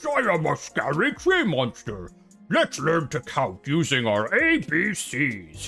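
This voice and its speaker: A put-on character voice at a low-to-middle pitch and a fairly slow pace, over faint music in the background. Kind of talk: children's educational show.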